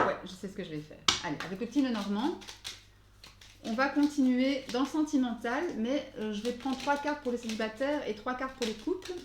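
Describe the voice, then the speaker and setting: A woman with a high pitch and lively intonation speaks fairly quickly over noticeable background noise. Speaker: tarot card reader. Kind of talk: tarot guidance reading. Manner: fast; hesitant, many fillers.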